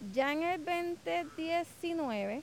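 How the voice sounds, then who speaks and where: A woman is speaking. Her intonation is lively. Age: 40s. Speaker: correctional officer. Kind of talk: interview. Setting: outdoors.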